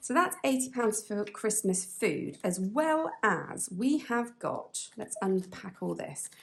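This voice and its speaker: In a British accent, a woman speaks at a very slow pace. Her fairly high voice carries lively intonation. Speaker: budgeting vlogger. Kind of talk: casual chat. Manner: halting.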